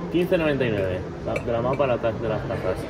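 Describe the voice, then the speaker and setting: A man's voice over loud background noise. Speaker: vlogger. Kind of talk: casual vlog chat. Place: shop. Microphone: phone near.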